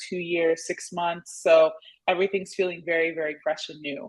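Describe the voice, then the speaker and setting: The accent is American. Speech moves at a moderate pace. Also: woman. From California, Nigerian-born. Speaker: attorney and adjunct law professor. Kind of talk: interview conversation. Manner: hesitant, many fillers.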